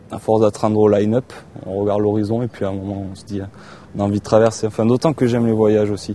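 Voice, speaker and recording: A man with a fairly low pitch, a monotone, flat delivery, big swings in loudness and a very fast pace. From southwest France, Landes coast. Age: 20s. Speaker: sailing crew member and ship's cook. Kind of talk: documentary interview. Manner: hesitant, many fillers.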